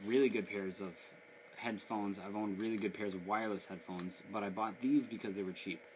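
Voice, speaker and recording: The speech is mumbled. Its intonation stays fairly even. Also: man. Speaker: gaming channel host. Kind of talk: product review. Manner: mumbling; casual, low.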